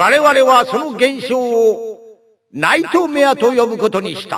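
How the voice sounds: A man performs a cartoonish character voice at an extremely high pitch with a fairly bright tone. His intonation is lively and his pace fairly slow.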